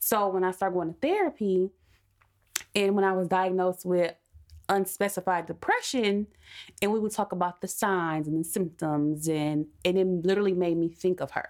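In a normal speaking voice, a woman talks at a medium pitch, her loudness very even and her intonation fairly even. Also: moderate pace. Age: 20s. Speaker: podcast guest. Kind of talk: casual chat.

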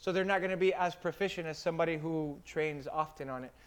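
Here is a man with an American accent and an animated tone. His pitch varies in an ordinary way. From Miami, Florida. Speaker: firefighter. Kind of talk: casual chat.

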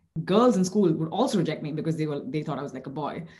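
Her tone dark and mellow, a woman speaks in a somewhat breathy voice at a fairly low pitch with ordinary pitch variation. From India. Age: 30s. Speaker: model and advocate. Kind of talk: roundtable discussion.

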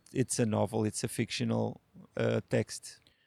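A man speaks with a Portuguese accent. The sound is dry and close, with no echo. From Portugal, rural Alentejo village. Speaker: novelist. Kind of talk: interview. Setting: literature festival. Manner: hesitant.

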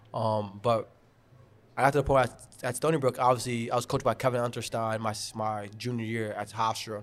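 A man with a New York accent talks at a fairly quick pace in a medium pitch with monotone, flat intonation. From New York, Long Island (Garden City). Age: 20s. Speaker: lacrosse coach. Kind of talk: casual chat. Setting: brewery.

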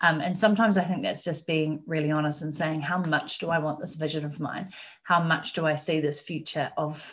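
Over a quiet background, a woman speaks in a New Zealand accent at a fairly quick pace. Her very deep, low voice is somewhat breathy, with fairly even intonation. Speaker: business mentor. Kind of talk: interview.

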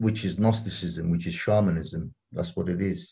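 A man speaks at a very deep, low pitch in a dark, mellow tone. His voice is somewhat breathy, at a moderate pace with ordinary pitch variation. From London, England. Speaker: activist. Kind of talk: interview.

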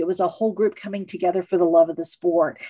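A dark, mellow tone carries an American accent over a quiet background. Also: woman. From Missouri. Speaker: sports museum president. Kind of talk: interview.

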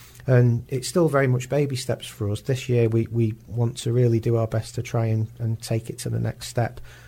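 A man's medium-pitched, somewhat breathy voice with a dark, mellow tone, monotone, flat intonation, a moderate pace and hardly any pauses, on a very clean recording with a silent background. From northern England, Warrington. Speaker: marketing director. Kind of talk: radio interview. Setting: radio studio. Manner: halting, repeats words.

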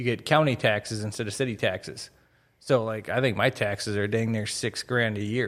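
A medium-pitched man with an American accent at a fairly quick pace, in a very clean recording with a silent background. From northwest Minnesota, Crookston. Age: 30s. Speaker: real estate agent, retired military. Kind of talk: casual interview.

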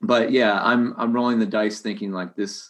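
At a moderate pace, a man speaks in a normal speaking voice at medium pitch. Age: 30s. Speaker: real estate agent. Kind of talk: casual chat.

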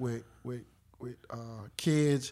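A man with a North Carolina accent at a fairly slow pace, in a very clean recording with a silent background. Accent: Southern US, North Carolina. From North Carolina (Clayton). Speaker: retired Air Force veteran. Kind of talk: casual interview chat.

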